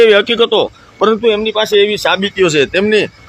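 A high-pitched male voice against noticeable background noise. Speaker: video blogger interviewing a holy woman. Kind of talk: casual interview with narration to camera.

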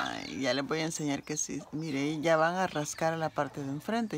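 A woman's very deep, low voice over noticeable background noise. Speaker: vlogger. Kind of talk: casual vlog narration. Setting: outdoors at home with animals. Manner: animated.

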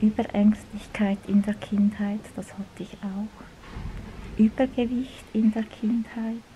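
A soft-spoken woman at a very slow pace, fairly high in pitch, flat and monotone, with big swings in loudness, hardly any pauses and light background noise. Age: 50s. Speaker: video blogger. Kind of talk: vlog monologue. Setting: public library. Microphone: phone near.

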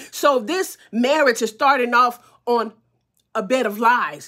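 The background is quiet. A woman speaks in a high pitch with ordinary pitch variation. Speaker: commentator on a TV drama. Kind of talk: casual vlog chat. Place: home room. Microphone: phone near.

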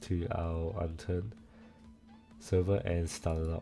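Over music in the background, a man with a very deep, low pitch talks at a fairly slow pace. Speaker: game server tutorial maker. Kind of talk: screen-recorded software tutorial.

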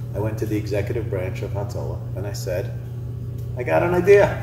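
With noticeable background noise around him, a man talks at a fairly quick pace in a medium pitch. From England, raised in US from 1977. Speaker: nonprofit founder. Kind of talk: interview. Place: hall.

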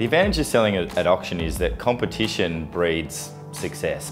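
Very wide pitch swings over clear music in the background. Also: man. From Australia (Melbourne). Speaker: real estate agent and auctioneer. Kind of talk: corporate profile talking to camera. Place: office. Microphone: lapel.

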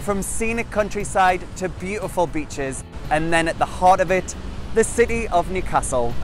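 Moderate-paced speech from a man with a high pitch and ordinary pitch variation, dry with no echo, music in the background. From Newcastle, England. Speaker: TV host. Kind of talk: travel show hosting. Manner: upbeat, charismatic.

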